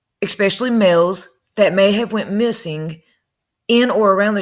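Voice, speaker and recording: A woman talks in a Southern US accent at a medium pitch. Her pace is moderate and her intonation fairly even. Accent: country Southern. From North Carolina. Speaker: true crime YouTuber. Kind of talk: casual commentary reading news. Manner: conversational.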